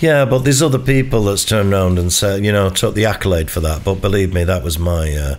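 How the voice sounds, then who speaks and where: A man with a Mancunian accent and fairly low pitch speaks very fast with hardly any pauses and lively intonation, against noticeable background noise. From Manchester.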